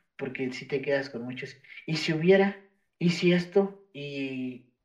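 The man's intonation is lively. He speaks at a fairly slow pace. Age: 20s. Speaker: podcast co-host, sociology graduate. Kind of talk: casual chat. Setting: video call from home. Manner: halting, many fillers.

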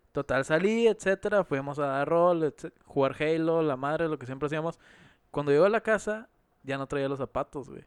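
A man speaks with a Mexican accent at a fairly quick pace. His pitch is fairly high, and the sound is dry and close with no echo. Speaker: podcast co-host. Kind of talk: casual chat.

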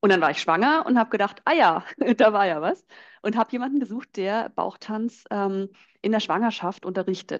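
Against a quiet background and with a dry, close sound free of echo, a woman with a plain, everyday voice speaks at a moderate pace, fairly high in pitch and with lively intonation. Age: 30s. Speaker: belly dance teacher. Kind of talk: guided dance instruction; casual interview.

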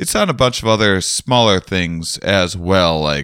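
A man with an American accent speaks at a fairly slow pace in a bright, sharp tone. The recording is very clean, with a silent background. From US Midwest, Wisconsin. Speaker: podcast host and comedian. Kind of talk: casual interview.

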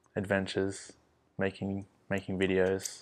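Very slowly, a man speaks with an Australian accent. His pitch is fairly low and his intonation monotone and flat. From Perth, Western Australia. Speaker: videographer and obstacle runner. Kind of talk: casual chat.

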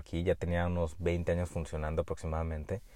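A man's very deep, low voice comes through over a quiet background. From Mexico, Jalisco. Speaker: medical doctor and podcast host. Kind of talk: solo podcast monologue. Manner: hesitant with frequent fillers and repetitions.

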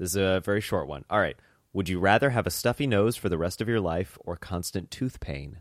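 An unremarkable speaking voice from a man, fairly low in pitch with ordinary pitch variation and a fairly quick pace, dry and close with no echo, on a very clean recording against a silent background. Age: 20s. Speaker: podcast host and comedian. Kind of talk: casual chat.

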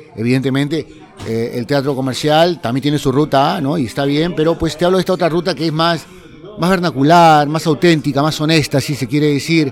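Noticeable background noise sits behind a man's fairly high voice. He talks at a fairly quick pace with ordinary pitch variation. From Peru, Lima. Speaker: community theatre artist. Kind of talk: interview testimony. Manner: halting, many fillers.

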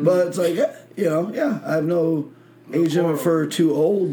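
A man with a plain, everyday voice speaks in an American accent at a fairly high pitch. His pace is moderate and his pitch variation ordinary. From Michigan, small country town. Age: 20s. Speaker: podcast host. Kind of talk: casual chat.

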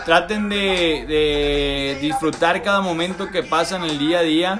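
Talking at a very slow pace, a man with a fairly high pitch shows ordinary pitch variation, with audible room echo and noticeable background noise. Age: 20s. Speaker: podcast host. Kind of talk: casual chat. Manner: halting.

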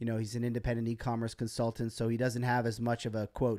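This man has a medium-pitched voice with a dark, mellow tone. The recording is very clean, with a silent background. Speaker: live stream host. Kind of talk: casual live stream chat, solo. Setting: live stream with screen share.

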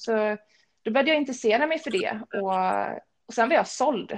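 This is a plain, everyday voice. Its intonation is lively. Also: woman. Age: 30s. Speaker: personal trainer. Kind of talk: casual interview.

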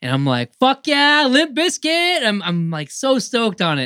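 On this very clean recording, where the background is silent, the words come at a fairly quick pace. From Canada, rural Ontario. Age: 30s. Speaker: podcast host. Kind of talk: casual chat.

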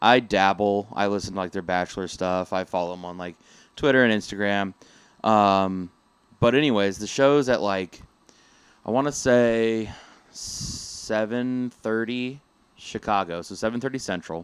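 A man with a fairly low voice speaks at a moderate pace with ordinary pitch variation, his loudness swinging widely, in an unremarkable speaking voice on a very clean recording with a silent background. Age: 20s. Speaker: podcast co-host. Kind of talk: casual chat.

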